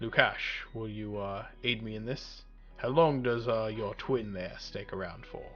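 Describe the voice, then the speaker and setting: A man performs a put-on character voice at a medium pitch. His loudness swings widely. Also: moderate pace. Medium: actual play. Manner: measured, deliberate.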